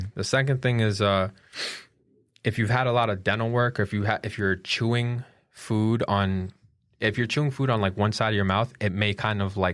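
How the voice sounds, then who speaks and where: On a very clean recording with a silent background, a man mumbles at a moderate pace and a fairly low pitch. His intonation is fairly even and his loudness very even. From Colombia. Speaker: podcast host. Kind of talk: casual chat. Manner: mumbling.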